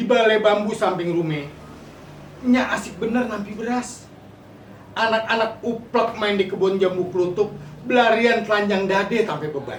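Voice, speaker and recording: With a Jakarta accent and a high pitch, a man talks over noticeable background noise. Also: ordinary pitch variation, moderate pace. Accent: Betawi dialect. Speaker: poet. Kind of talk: poetry reading.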